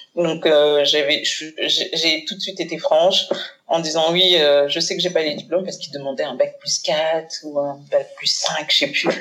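Noticeable background noise accompanies a woman who speaks at a fairly slow pace with a very deep, low pitch and monotone, flat intonation. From Paris suburbs (Seine-Saint-Denis), Haitian-born. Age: 40s. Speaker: communication agency founder. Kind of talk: casual interview. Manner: hesitant, many fillers.

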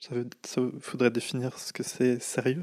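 Man of medium pitch, with a dry, close sound with no echo, on a very clean recording against a silent background. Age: 30s. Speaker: draughtsman and painter. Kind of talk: casual interview conversation. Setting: indoors over tea in Paris. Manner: hesitant, many fillers and repetitions.

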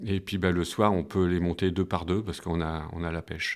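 At a fairly quick pace, the voice holds fairly even intonation on a very clean recording with a silent background. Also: man. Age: 50s. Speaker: school maintenance worker. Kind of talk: personal testimony. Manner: hesitant, many fillers and repetitions.

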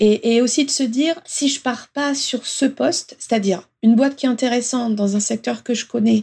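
At a moderate pace, a woman with a dark, mellow tone and fairly high pitch speaks with ordinary pitch variation on a very clean recording with a silent background. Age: 40s. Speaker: manager. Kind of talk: interview. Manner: halting.

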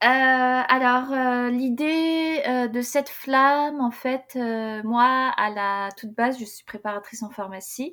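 A bright, sharp tone with big swings in loudness unfolds at a very slow pace in a very clean recording with a silent background. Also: woman, high pitch for a woman, ordinary pitch variation. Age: 20s. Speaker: candle-making entrepreneur. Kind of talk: podcast interview.

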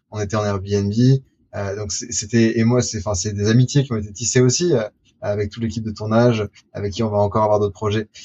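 Somewhat breathy and fairly low-pitched, a man speaks at a fairly quick pace. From France, Lyon. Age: 20s. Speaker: future-of-work explorer and documentary maker. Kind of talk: interview. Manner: animated.

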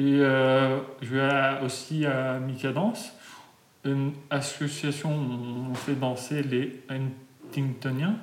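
Amid noticeable background noise and audible room echo, a man speaks at a very slow pace with fairly even intonation. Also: medium pitch for a man. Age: 20s. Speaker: patient with juvenile Huntington's disease. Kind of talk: interview.

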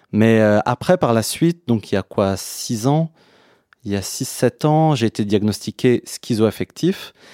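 On a very clean recording with a silent background and a dry, close sound with no echo, a man at medium pitch speaks very slowly in a dark, mellow tone with lively intonation. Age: 30s. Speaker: person living with schizoaffective disorder. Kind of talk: casual chat. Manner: halting.

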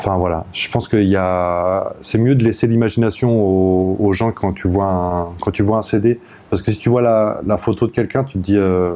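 A man talks at a moderate pace in a fairly low pitch, barely pausing. His tone is dark and mellow, his intonation fairly even. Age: 30s. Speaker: jazz saxophonist. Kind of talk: casual interview. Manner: halting.

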